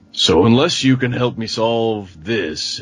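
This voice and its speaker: Using a put-on character voice at medium pitch, a man speaks at a fairly slow pace. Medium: actual play.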